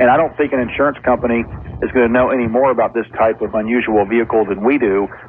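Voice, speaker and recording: Very fast and at a very even loudness, a man speaks with fairly even intonation over noticeable background noise. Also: medium pitch for a man. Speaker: accountant. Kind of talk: phone-in call. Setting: in a car.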